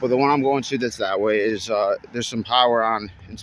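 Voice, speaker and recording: Fairly low in pitch, a man speaks at a fairly quick pace with fairly even intonation and a normal speaking voice. There is light background noise, and the sound is dry with no echo. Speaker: urban explorer vlogger. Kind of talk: casual vlog chat. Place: street. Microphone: phone near.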